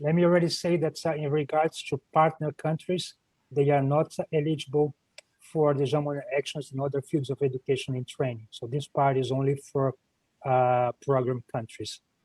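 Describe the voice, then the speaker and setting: A somewhat breathy man at a fairly high pitch, with fairly even intonation, in a dry, close sound with no echo. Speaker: EU program officer presenting funding call. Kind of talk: online presentation. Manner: hesitant with many fillers and repetitions; fast.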